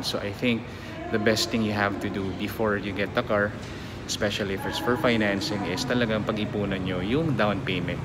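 Loud background noise behind a man at a moderate pace. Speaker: vlogger. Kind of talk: casual vlog chat. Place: shop. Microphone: phone near.

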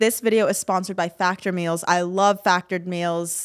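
This is an ordinary speaking voice with fairly even intonation. It moves at a moderate pace against a quiet background. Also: woman. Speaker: podcast host; podcast co-host. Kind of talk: casual chat. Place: studio. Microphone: studio mic.

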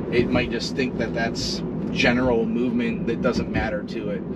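A man's voice against loud background noise. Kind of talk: casual driving commentary. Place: car.

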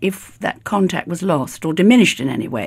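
With a British accent, a woman talks at a fairly quick pace in a dark, mellow tone with vocal fry, her pitch swinging very widely. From Britain. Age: 80s+. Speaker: actress. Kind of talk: interview answer.

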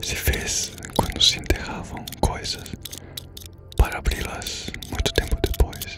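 A man whispers at a fairly slow pace with music playing in the background. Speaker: ASMR creator. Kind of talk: ASMR letter reading. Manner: whispered; soft-spoken, slow.

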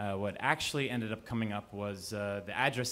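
Fairly low in pitch, a man talks at a moderate pace with fairly even intonation over light background noise. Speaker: storyteller. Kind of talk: live storytelling performance. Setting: live audience in a cafe. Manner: casual, conversational with hesitations. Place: cafe. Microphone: handheld.

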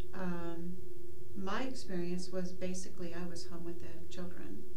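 A woman speaks against noticeable background noise. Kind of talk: interview answer. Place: studio.

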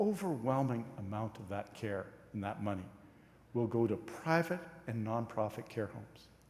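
This man's voice is somewhat breathy, with lively intonation. Room echo can be heard around him. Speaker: cabinet minister. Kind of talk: parliamentary debate speech. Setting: legislative chamber. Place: hall.

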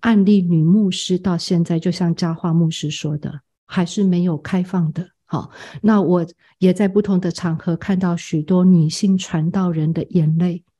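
A woman with a fairly low pitch and a dark, mellow tone speaks somewhat breathily at a fairly slow pace. Her intonation is monotone and flat over a quiet background. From Taiwan, Tamsui. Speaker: seminary president and homiletics professor. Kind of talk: interview.

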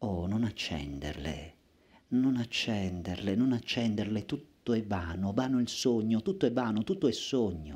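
Lively intonation at a fairly slow pace. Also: man, fairly low pitch for a man. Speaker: poet reciter. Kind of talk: poetry reading aloud. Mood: intense, lyrical, dramatic. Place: stage. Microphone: headset.

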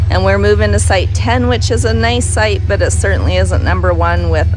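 Music plays behind a man with a very deep, low voice. He speaks at a moderate pace in a monotone, flat intonation, and the sound is dry with no echo. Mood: content, relaxed. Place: open country.

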